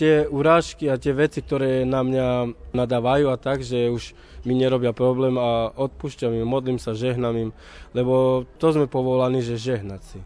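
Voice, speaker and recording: At a medium pitch, a man speaks in a monotone with flat intonation. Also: moderate pace. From eastern Slovakia, Roma settlement near Bardejov. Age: 30s. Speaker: Roma lay missionary. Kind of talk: testimony.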